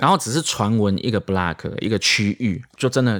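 An unremarkable speaking voice from a man, fairly quick with ordinary pitch variation, on a very clean recording with a silent background. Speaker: senior crime journalist. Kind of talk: casual podcast chat.

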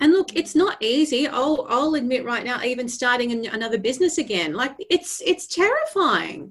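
A woman speaks in an Australian accent with an animated tone. Her intonation is lively. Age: 40s. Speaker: vocal coach. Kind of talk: podcast interview.

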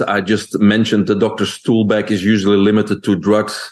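A man with a Belgian accent. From Belgium. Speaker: holistic nutrition expert. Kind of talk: interview.

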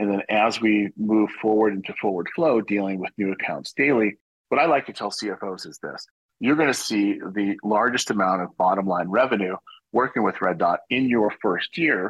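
An ordinary speaking voice from a man, fairly low in pitch, with ordinary pitch variation at a moderate pace. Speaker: company executive. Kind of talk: sponsored interview.

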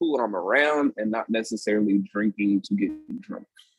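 A man speaks with an American accent in an ordinary speaking voice, with ordinary pitch variation. The sound is dry and close, with no echo. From Sacramento area, California. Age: 30s. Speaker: brewery owner. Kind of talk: casual interview.

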